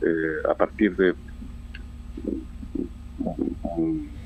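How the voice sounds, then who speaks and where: A man is talking, and background noise is noticeable throughout. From Chile. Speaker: poet. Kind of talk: radio interview answer. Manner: hesitant, many fillers.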